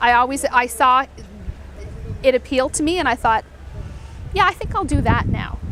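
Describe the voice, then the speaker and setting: A loud woman's voice, high in pitch with ordinary pitch variation, at a moderate pace with long, frequent pauses, over noticeable background noise. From eastern Canada. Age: 40s. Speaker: mortgage broker. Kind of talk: interview. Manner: animated.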